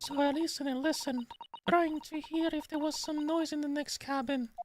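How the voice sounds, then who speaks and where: This put-on character voice is squeaky and runs at a fairly quick pace. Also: woman, high pitch for a woman. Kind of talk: storytelling.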